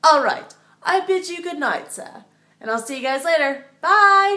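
A woman's raised, projected voice against a quiet background. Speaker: video creator. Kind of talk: casual vlog chat. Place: home room. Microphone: phone near.

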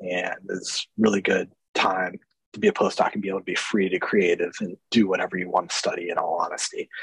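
The speaker has an American accent and a fairly quick pace. The sound is dry, with no echo and a quiet background. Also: man. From Ohio, US. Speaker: scientist, lab head; webinar speaker. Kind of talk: webinar talk. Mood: friendly, relaxed. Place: office. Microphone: webcam.

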